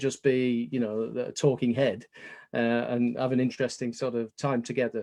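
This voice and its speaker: Against a quiet background, a man with a British accent speaks at a very fast pace. His medium-pitched voice has a dark, mellow tone. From England. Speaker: business consultant. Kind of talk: webinar presentation.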